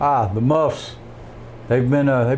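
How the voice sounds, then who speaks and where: This man talks with a Southern US accent. His intonation stays fairly even. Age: 50s. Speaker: rooster breeder. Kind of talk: interview.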